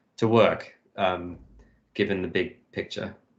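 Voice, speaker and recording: Here a man speaks with a British accent. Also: quiet background. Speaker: industrial designer. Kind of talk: casual chat. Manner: hesitant, many fillers.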